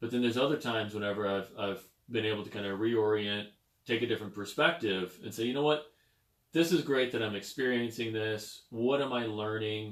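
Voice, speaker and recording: A man with an unremarkable speaking voice talks at a fairly quick pace in a medium pitch, using ordinary pitch variation. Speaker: podcast host. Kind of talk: podcast interview host talk.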